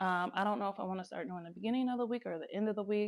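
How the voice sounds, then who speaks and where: This is a woman with an ordinary speaking voice at a medium pitch and ordinary pitch variation. The recording is very clean, with a silent background. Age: 30s. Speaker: lifestyle vlogger. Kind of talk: casual talk to camera.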